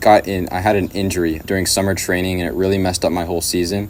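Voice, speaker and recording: A man with an American accent and a very deep, low pitch, rattling along at a very fast pace in a monotone, flat intonation amid noticeable background noise. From Southern California, Riverside. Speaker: YouTube channel creator. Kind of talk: personal video message. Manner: casual, with fillers.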